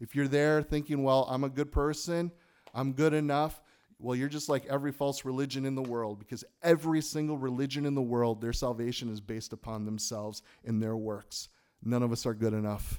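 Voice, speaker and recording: In an animated tone, a man talks at a fairly quick pace with a medium pitch and ordinary pitch variation. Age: 40s. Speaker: pastor. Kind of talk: sermon. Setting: church.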